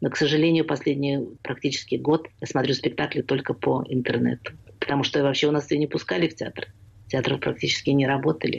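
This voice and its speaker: Speaking at a fairly quick pace, a woman with a very deep, low pitch and vocal fry keeps a fairly even intonation. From Russia (Leningrad). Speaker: theatre scholar and memoirist. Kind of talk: radio interview.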